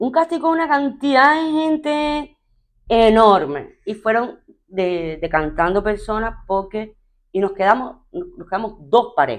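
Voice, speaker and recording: A woman speaks at a very slow pace in a fairly high voice. Her pitch swings very widely. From Cuba. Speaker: TV presenter, radio announcer, actress. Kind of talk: interview answer.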